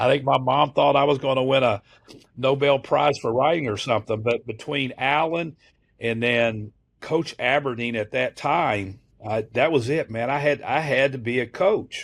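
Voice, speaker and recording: The tone is animated, with ordinary pitch variation. The pace is moderate. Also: man, medium pitch for a man. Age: 60s. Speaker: college basketball assistant coach. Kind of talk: podcast interview. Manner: animated, with frequent fillers and restarts.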